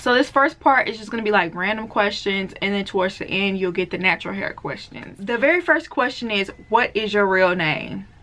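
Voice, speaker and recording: A woman with a Southern accent talks at a fairly quick pace with hardly any pauses. Her medium-pitched voice has lively intonation over noticeable background noise. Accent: Southern, sounds country. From US South, deep south Mississippi. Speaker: beauty and natural hair vlogger. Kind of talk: casual Q&A vlog.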